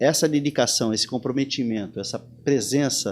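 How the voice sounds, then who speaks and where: With music in the background, the speech moves at a moderate pace with ordinary pitch variation. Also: man. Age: 60s. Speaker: surf instructor. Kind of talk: interview conversation. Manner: animated; halting with repetitions.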